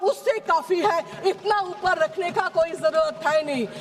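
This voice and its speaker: Lively intonation marks this woman's extremely high-pitched voice, heard against noticeable background noise. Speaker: member of parliament. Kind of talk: parliamentary speech, political debate. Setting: parliament hall.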